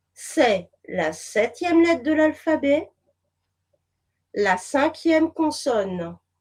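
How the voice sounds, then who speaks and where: A woman speaks at a very slow pace with long, frequent pauses. Her high pitch swings very widely. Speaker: whistleblower and therapist. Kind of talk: interview.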